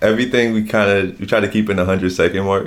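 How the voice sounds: Someone with an American accent talks at a fast pace with fairly even intonation. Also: man, fairly low pitch for a man.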